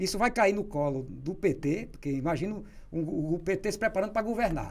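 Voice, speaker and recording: Very wide pitch swings in a man's high voice. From Natal, Rio Grande do Norte, Brazil; Rio Grande do Norte, Brazil. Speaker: writer and columnist; interview guest. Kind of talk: interview. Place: studio. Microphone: studio mic.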